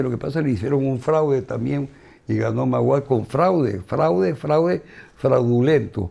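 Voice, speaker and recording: Lively intonation marks this man's medium-pitched voice. His tone is dark and mellow, and his pace is moderate. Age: 70s. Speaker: former football club executive and politician. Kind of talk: interview.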